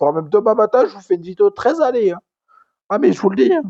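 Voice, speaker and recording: A man speaks loud, with a dark, mellow tone. His pitch swings very widely. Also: dry, close sound with no echo. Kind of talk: casual talk to camera, wrestling commentary rant. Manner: ranting, loud.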